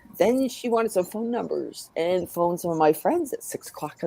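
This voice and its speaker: The speaker uses lively intonation at a moderate pace against noticeable background noise. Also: woman. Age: 50s. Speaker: host of a community chat stream. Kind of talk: casual group chat.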